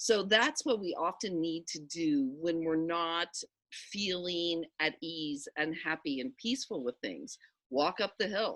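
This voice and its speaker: With a plain, everyday voice, a woman speaks at a fairly slow pace in a fairly low pitch, her intonation lively against a quiet background. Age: 60s. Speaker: spiritual teacher. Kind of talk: casual chat.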